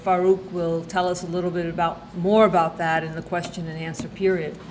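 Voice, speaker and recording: Noticeable background noise sits behind this woman's voice. Her intonation stays monotone and flat. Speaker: event organizer. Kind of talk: formal introduction. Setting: stage with audience.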